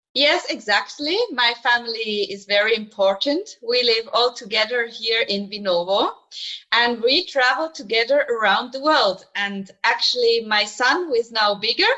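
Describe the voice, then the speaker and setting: The speaker has a Swiss German accent and ordinary pitch variation. The pace is moderate. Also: woman, fairly high pitch for a woman. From Switzerland, German-speaking. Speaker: show jumper. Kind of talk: remote interview.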